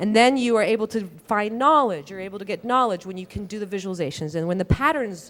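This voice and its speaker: With lively intonation, a woman of medium pitch speaks on a very clean recording with a silent background. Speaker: data visualization researcher. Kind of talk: conference talk. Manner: fast; halting, many fillers and restarts.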